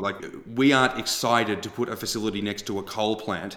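With a slight Australian accent, a man speaks at a fairly quick pace and fairly low pitch, keeping his intonation fairly even. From Australia, Melbourne. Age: 20s. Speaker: agtech startup founder and CEO. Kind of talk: interview.

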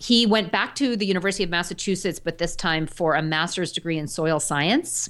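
An ordinary speaking voice from a woman, fairly low in pitch, fairly quick, with hardly any pauses and ordinary pitch variation, against a quiet background. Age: 40s. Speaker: dietitian and farmer. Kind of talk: interview.

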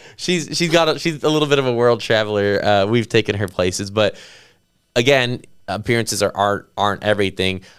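A man with a plain, everyday voice and a fairly low pitch talks at a fairly quick pace with lively intonation, in a very clean recording with a silent background. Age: 30s. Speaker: podcast host and real estate agent. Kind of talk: casual interview chat.

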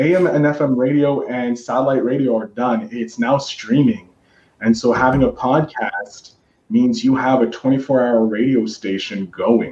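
A man speaks at a fairly slow pace with a Canadian accent, an ordinary speaking voice. His pitch is medium, with ordinary pitch variation. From Canada. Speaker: podcast host. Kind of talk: casual chat. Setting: video call.

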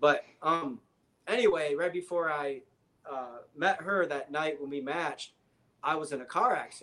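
In an American accent, a man talks at a moderate pace with fairly high pitch. His tone is bright and sharp, with ordinary pitch variation. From Michigan, near Detroit. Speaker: guest, physics graduate and Tesla road-tripper. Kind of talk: casual chat.

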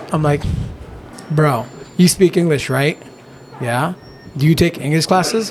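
A man with a fairly high pitch speaks at a fairly slow pace with ordinary pitch variation and long, frequent pauses over noticeable background noise. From eastern Oregon (Nyssa), born in Mexico. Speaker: jiu jitsu gym owner and Spanish teacher. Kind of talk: podcast interview.

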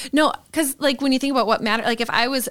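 A woman speaks with an Upper Midwest accent. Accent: Upper Midwest American. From Green Bay, Wisconsin. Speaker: church staff member. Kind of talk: casual chat.

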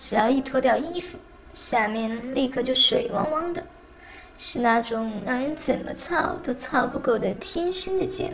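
Over noticeable background noise, a woman speaks at a fairly slow pace in a high voice with lively intonation. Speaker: amateur audiobook narrator. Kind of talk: reading aloud.

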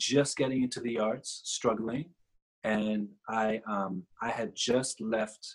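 This is an ordinary speaking voice: a man with an American accent and a fairly low pitch. He talks fairly slowly, his intonation fairly even. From New York. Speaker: visual artist. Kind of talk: interview.

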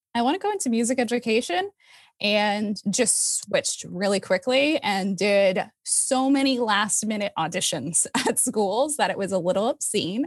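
On a very clean recording with a silent background, a woman speaks at a moderate pace in a normal speaking voice with lively intonation. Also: fairly high pitch for a woman. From moved all over the US. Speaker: music educator and arts administrator. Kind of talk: casual interview.

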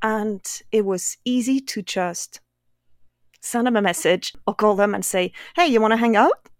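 Long, frequent pauses mark the speech of a woman with a fairly high pitch and ordinary pitch variation, on a very clean recording with a silent background. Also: moderate pace, dry, close sound with no echo. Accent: French. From France, Brittany. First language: French. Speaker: painter. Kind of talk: casual chat.

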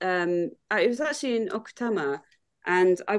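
A woman with a British accent speaks at a fairly slow pace in a medium pitch. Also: quiet background. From UK. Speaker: hiker and long-term expat. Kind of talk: casual interview chat.

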